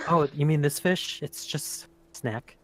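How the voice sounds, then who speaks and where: In a put-on character voice, the speaker sounds breathy at a low-to-middle pitch. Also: fairly slow pace. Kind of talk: broken, simple phrasing.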